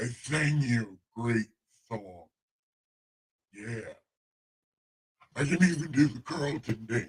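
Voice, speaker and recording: Using a put-on character voice, a man at medium pitch talks at a fairly slow pace with long, frequent pauses. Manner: silly, playful, pretending to be God.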